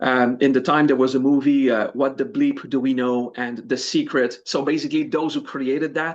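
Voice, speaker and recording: A man with a French accent speaks at a moderate pace in a medium pitch, his intonation fairly even. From France. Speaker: spiritual teacher. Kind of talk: interview. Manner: halting.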